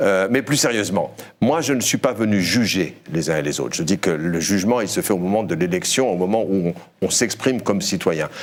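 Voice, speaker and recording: With lively intonation and a fairly low pitch, a man speaks at a fairly quick pace. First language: Berber (speaking French). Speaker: journalist, former broadcasting regulator member. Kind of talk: debate panel interview.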